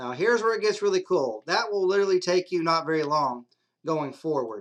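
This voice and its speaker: A man speaks in a high voice. The background is quiet. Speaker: CNC software tutorial maker. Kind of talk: screen-recorded software tutorial. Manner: casual.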